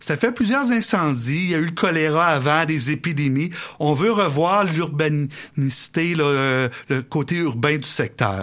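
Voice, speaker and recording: Speaking in an ordinary speaking voice, a man with a fairly high pitch moves at a fairly slow pace with lively intonation. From Quebec City area (Beauport). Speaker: historian. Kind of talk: radio interview.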